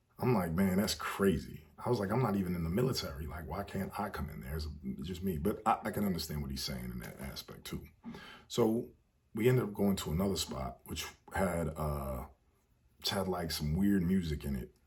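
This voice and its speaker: A man with an American accent, very deep and low in pitch, at a fairly quick pace, relaxed in tone, with lively intonation and vocal fry. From United States. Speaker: travel storyteller vlogger. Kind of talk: casual storytelling monologue. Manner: relaxed, with many fillers.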